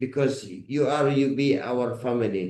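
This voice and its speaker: A man with a non-native accent and a dark, mellow tone, at a moderate pace with fairly even intonation. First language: not English. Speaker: company head. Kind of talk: business video meeting. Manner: halting.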